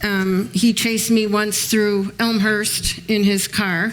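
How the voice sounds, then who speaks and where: In an American accent, a woman talks at a medium pitch with a monotone, flat intonation. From Chicago. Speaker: author and former mob wife. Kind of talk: panel talk with audience. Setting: museum event with audience. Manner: hesitant, many ums.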